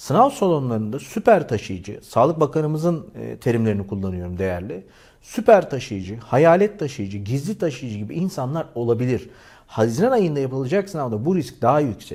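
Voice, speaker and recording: A man with a medium pitch and a dark, mellow tone talks at a moderate pace with very wide pitch swings. The recording is very clean, with a silent background. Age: 40s. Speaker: YouTuber. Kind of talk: appeal to viewers.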